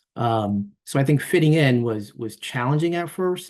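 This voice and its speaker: The speaker has a Spanish accent and lively intonation, over a quiet background. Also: man. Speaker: university staff member. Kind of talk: interview. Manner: halting, many fillers.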